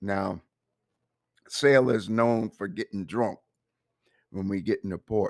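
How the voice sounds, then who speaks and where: In a dry, close sound with no echo, a man with a fairly low pitch and ordinary pitch variation speaks at a very slow pace, leaving long, frequent pauses. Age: 70s. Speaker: navy veteran storyteller. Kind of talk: personal storytelling. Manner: casual, conversational.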